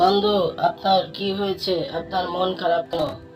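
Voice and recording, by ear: A cartoonish character voice at a middle pitch moves at a moderate pace over clear background noise.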